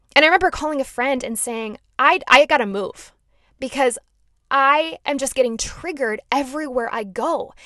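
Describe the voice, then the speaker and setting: Projecting loudly over a quiet background, a woman with an American accent speaks at a moderate pace in a high, bright, sharp voice, her intonation lively and her loudness swinging widely. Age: 20s. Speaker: podcast host. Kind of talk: personal testimony.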